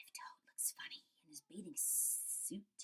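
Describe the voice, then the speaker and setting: A woman whispers. She uses a put-on character voice. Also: fairly slow pace. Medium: read story.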